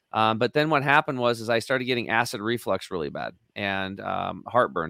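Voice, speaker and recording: In an American accent, a man with an unremarkable speaking voice and medium pitch talks at a fairly quick pace with lively intonation, on a very clean recording with a silent background and a dry, close sound with no echo. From eastern Oregon, US. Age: 50s. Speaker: health and detox advocate. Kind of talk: interview.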